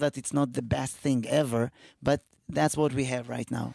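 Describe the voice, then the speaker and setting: Heard in a very clean recording with a silent background, a man speaks with an Israeli accent at a moderate pace and ordinary pitch variation. The sound is dry and close, with no echo. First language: Hebrew. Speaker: comedian, podcast co-host. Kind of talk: casual chat.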